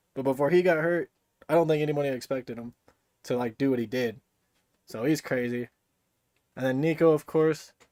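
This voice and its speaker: Long, frequent pauses break up speech with ordinary pitch variation. The sound is dry and close, with no echo. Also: man, fairly high pitch for a man. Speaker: football video creator. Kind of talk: live stream game breakdown. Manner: fast; animated.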